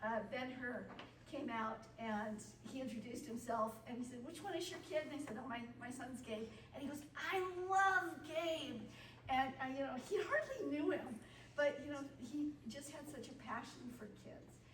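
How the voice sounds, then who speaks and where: Over noticeable background noise and audible room echo, a woman speaks at a high pitch and a moderate pace, with ordinary pitch variation and big swings in loudness. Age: 60s. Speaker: high school teacher and volunteer leader. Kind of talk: testimony.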